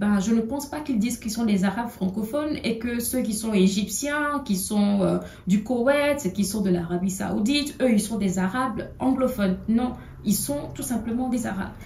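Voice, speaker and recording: A woman with a fairly high voice and ordinary pitch variation is heard amid noticeable background noise and audible room echo. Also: moderate pace. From Togo. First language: an African language (not French) (speaking French). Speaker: political commentator. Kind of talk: video monologue. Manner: halting, many hesitations.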